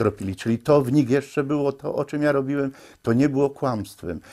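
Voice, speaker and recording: Against a quiet background, a man talks with a Silesian accent. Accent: Silesian Polish. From Upper Silesia, Poland. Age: 60s. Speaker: amateur filmmaker; interviewee. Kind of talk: interview testimony. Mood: nostalgic, heartfelt. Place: home room.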